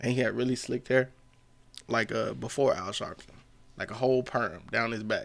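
With vocal fry and a medium pitch, a man talks at a moderate pace, taking long, frequent pauses. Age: 30s. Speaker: comedian and navy sailor. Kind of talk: casual chat. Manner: animated.

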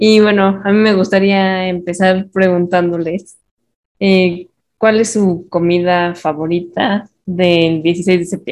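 A woman speaks at a very slow pace. Her medium-pitched voice has a monotone, flat intonation. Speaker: podcast host and moderator. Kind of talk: casual chat.

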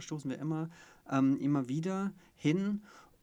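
A man at a fairly high pitch, with ordinary pitch variation. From Stuttgart area, Swabia. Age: 30s. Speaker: podcast co-host, coach. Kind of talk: casual chat.

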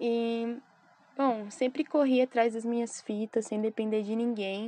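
A woman with a fairly high pitch and a dark, mellow tone talks at a fairly slow pace with fairly even intonation, in a dry, close sound with no echo. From Brazil, São Paulo. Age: 20s. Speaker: podcaster and skateboarder. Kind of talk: casual monologue. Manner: casual slangy.

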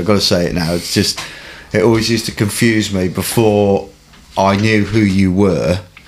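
At a fairly quick pace, a man with a fairly low pitch talks over noticeable background noise. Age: 50s. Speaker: podcast host. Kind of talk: casual interview chat.

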